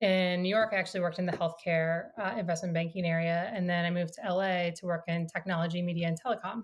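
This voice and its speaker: Very fast and with hardly any pauses, a woman with an American accent talks in a somewhat breathy, fairly low voice with monotone, flat intonation. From US Midwest, small-town Iowa. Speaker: company founder and CEO. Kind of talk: interview.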